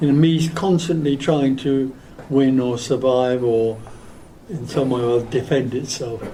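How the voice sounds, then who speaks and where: A man with an English accent at a medium pitch and moderate pace, fairly even intonation, audible room echo and noticeable background noise. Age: 80s+. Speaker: spiritual teacher. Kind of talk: question and answer session. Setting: stage with audience. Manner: calm.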